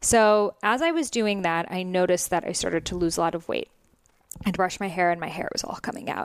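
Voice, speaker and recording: The speaker uses a plain, everyday voice with ordinary pitch variation and keeps a fairly quick pace. The background is silent, and the recording very clean. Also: woman, medium pitch for a woman. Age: 20s. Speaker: Ayurveda author and podcast host. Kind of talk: interview. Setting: recorded at her home.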